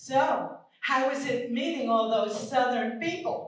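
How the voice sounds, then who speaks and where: Noticeable background noise runs under the speech. The pitch varies in an ordinary way. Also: woman. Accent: New York. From Long Island, New York. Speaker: stand-up comedian. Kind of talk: live stand-up comedy set. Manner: warm, storytelling.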